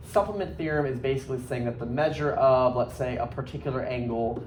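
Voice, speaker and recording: A man's voice carries audible room echo, with noticeable background noise behind it. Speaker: high school math teacher. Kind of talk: lecture. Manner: casual, filler-heavy.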